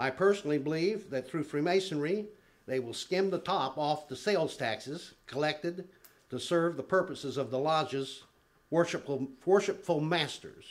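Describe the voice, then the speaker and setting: At a moderate pace, a man speaks in an ordinary speaking voice, fairly high-pitched, with ordinary pitch variation. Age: 60s. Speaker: public commenter at city council meeting. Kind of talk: public comment speech. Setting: city council chamber.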